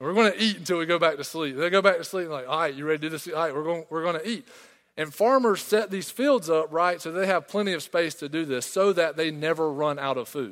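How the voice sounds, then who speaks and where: A man's high-pitched voice with a Southern US accent, at a very fast pace. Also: ordinary pitch variation. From small-town South Carolina. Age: 20s. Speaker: pastor. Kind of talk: sermon.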